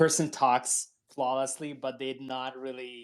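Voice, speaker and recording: The speaker has a non-native accent, and the recording is very clean with a silent background. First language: not English. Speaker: twitter space moderator. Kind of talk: panel discussion. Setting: twitter space audio call.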